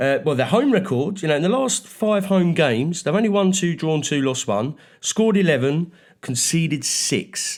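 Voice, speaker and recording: Here a man speaks in a London accent at a moderate pace. His pitch is high, and the recording is very clean with a silent background. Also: lively intonation. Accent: Mockney. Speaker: football podcast co-host. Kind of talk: casual chat, match preview.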